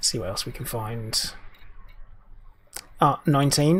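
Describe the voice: A man speaks slowly at a medium pitch. His voice is raspy with a slightly husky edge.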